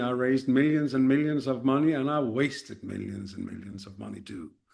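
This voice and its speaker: A man with a Danish accent, at a fairly quick pace. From Denmark. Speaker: startup mentor and serial founder. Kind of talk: podcast interview. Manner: halting, many fillers and repeated starts.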